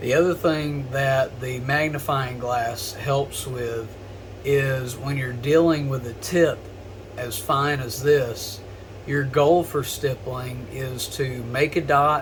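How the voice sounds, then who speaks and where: A very slow male voice at medium pitch, with fairly even intonation, audible room echo and noticeable background noise. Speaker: gun customization hobbyist / tutorial creator. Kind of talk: tutorial. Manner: lowered voice while focusing; casual, filler-heavy.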